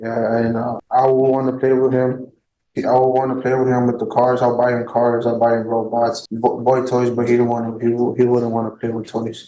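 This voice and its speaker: The speaker has a Spanish accent and a dark, mellow tone, talking at a moderate pace in a flat monotone. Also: man, medium pitch for a man. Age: 20s. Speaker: defendant. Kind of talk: courtroom testimony. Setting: courtroom. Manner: halting.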